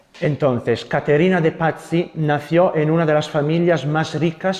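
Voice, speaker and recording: A man with an Italian accent speaks at a fairly slow pace. His voice is fairly high, with fairly even intonation. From Italy. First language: Italian (speaking Spanish). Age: young. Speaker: Carmelite friar. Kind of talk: lecture. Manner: halting.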